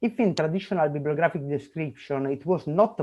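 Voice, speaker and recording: A man delivers his words fairly quickly, his intonation lively throughout. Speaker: conference speaker. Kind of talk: conference presentation. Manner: fast.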